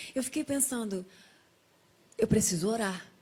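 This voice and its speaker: At a moderate pace, a woman speaks in a somewhat breathy, fairly high voice with ordinary pitch variation. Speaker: guest sharing a near-death testimony. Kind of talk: testimony in a TV talk show interview.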